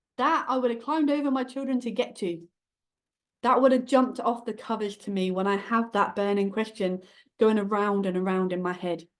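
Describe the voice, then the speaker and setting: A woman speaks in an animated tone, fairly high in pitch. Her pitch variation is ordinary, and the background is quiet. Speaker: book publishing coach. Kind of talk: masterclass presentation. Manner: fast.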